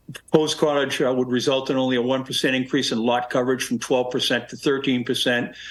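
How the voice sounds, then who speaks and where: A man at medium pitch, very fast and with hardly any pauses, his intonation flat and monotone, over noticeable background noise. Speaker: attorney presenting a zoning appeal. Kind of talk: formal presentation at public hearing. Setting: town board public hearing. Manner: halting, many fillers and restarts.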